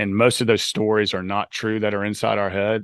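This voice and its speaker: Here a man talks at a fairly quick pace with a fairly low pitch. The background is quiet. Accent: Southern US. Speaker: author and life coach. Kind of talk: podcast interview.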